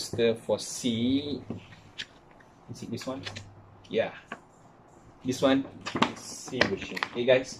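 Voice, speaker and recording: Noticeable background noise surrounds a man speaking at a very slow pace with long, frequent pauses and big swings in loudness. His pitch is medium and his intonation fairly even. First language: not English. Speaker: K-pop fan YouTuber. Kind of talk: casual talk to camera.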